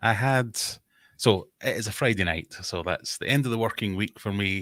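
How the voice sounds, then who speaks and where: A man speaks with a Scottish accent at a moderate pace. His fairly low voice sounds dry and close, with no echo. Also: ordinary pitch variation. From Scotland. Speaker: fishkeeping content creator. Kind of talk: casual chat. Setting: live stream video call.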